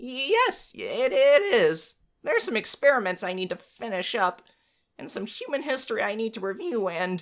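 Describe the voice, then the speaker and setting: A female-sounding voice does a raspy put-on character voice, pitched fairly high for a woman, at a moderate pace. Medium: actual play. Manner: stammering, nervous.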